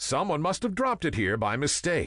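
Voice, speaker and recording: A man puts on a character voice, fairly high in pitch with very wide pitch swings. The background is quiet. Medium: read story.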